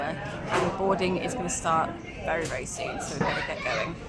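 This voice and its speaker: A quiet woman's voice with audible room echo and crowd noise in the background. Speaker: travel vlogger. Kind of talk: casual vlog. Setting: airport.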